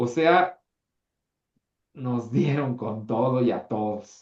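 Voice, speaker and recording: With a Mexican accent, a man speaks in an animated tone and with lively intonation. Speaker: history teacher. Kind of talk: online class lecture.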